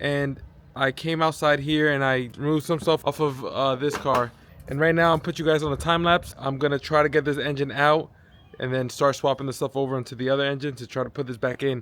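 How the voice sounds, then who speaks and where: Someone speaks at a fairly quick pace with music in the background. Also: man. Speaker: car DIY vlogger. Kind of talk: vlog tutorial narration. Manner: casual, hesitant fillers; fast.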